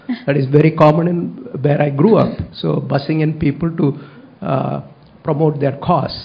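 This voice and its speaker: A man with a Tamil accent speaks at a moderate pace, his pitch fairly high and his intonation fairly even. Long pauses come often, and background noise is noticeable. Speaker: public commenter at school board meeting. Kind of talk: public comment speech. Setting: school board meeting, at a microphone. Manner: halting, many fillers.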